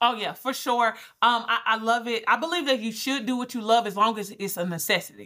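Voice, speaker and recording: Bright, sharp tone with an American accent, a fairly quick pace and ordinary pitch variation. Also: woman, fairly high pitch for a woman. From Georgia, US South (Albany). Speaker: business coach and brand strategist. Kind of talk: interview conversation. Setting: remote call.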